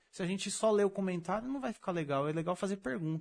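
A man rattles along very fast in a high voice with lively intonation. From Brazil, São Paulo state (Mauá). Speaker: podcast host. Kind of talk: casual chat; sales pitch.

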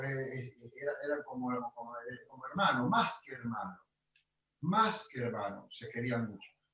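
A man speaks with lively intonation. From Argentina, Rosario (Santa Fe). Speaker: chamamé accordionist. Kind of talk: interview. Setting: video call. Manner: halting, many repetitions.

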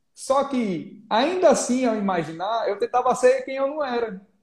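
The male speaker's delivery is fairly slow. Lively intonation runs through his speech. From Brazilian Northeast (Alagoas, Pernambuco, Bahia). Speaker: real estate agent and YouTuber. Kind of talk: live-stream interview, casual chat. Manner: relaxed, informal.

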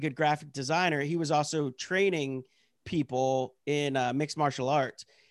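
A man with an American accent talks at a fairly slow pace in a normal speaking voice, fairly high in pitch. His pitch varies in an ordinary way, and the sound is dry and close with no echo. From rural Pennsylvania. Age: 30s. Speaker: comedian. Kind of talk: casual chat. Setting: video call.

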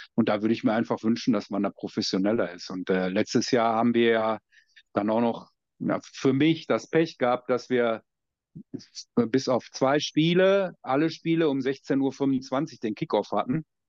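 Lively intonation marks this man's unremarkable speaking voice, which sits at a medium pitch and moves at a moderate pace, with a dry, close sound and no echo. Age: 50s. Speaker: American football coach. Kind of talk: casual chat.

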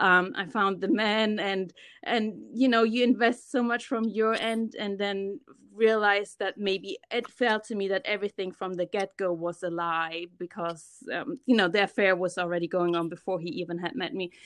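A woman's medium-pitched voice with a German accent, at a moderate pace with ordinary pitch variation, over a quiet background. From Germany. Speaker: podcaster working in finance. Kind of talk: casual interview chat.

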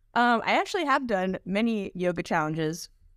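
A woman with an American accent and an unremarkable speaking voice talks at a moderate pace with ordinary pitch variation, recorded very cleanly against a silent background. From US, Washington DC area. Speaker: podcaster, tech support worker. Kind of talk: casual chat.

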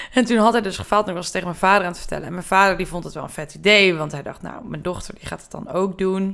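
At a very fast pace with hardly any pauses, a woman of medium pitch talks in big swings of loudness. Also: ordinary pitch variation. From Brabant, Netherlands. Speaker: production designer. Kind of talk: casual chat.

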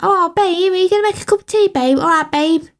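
Using a put-on character voice, a woman talks at a very fast pace with extremely high pitch. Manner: casual, grating.

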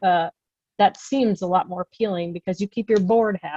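A plain, everyday voice speaks at a moderate pace with fairly even intonation, recorded dry and close with no echo. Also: woman. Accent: American. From US Midwest. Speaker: seminary program director. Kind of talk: casual interview.

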